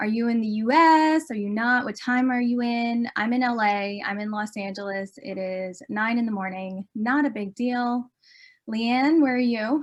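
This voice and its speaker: Her voice sits at a fairly high pitch. The woman speaks in an animated tone. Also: ordinary pitch variation, moderate pace. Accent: American. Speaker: documentary filmmaker. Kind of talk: conference presentation. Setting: virtual conference.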